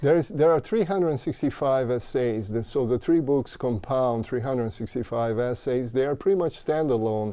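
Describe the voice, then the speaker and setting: A man's dark, mellow tone at a medium pitch, with ordinary pitch variation. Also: moderate pace. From Brazil. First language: Portuguese. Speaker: mindfulness teacher and author. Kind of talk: interview. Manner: halting.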